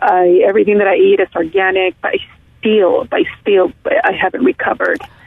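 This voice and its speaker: Noticeable background noise behind a woman's American-accented voice, her pace moderate. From California, US. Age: 40s. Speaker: caller with long COVID symptoms. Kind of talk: casual phone conversation. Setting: phone call.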